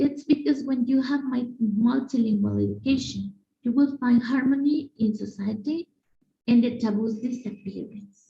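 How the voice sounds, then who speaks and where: At a moderate pace, a woman speaks with high pitch and a dark, mellow tone. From Mexico. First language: Spanish. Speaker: conference speaker, language educator. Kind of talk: conference presentation. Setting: video call. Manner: halting, with fillers.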